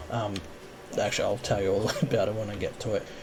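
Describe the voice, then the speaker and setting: A man with an Australian accent talks over noticeable background noise. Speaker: gaming youtuber. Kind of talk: gameplay commentary. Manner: halting, many fillers. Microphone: audio problem in recording.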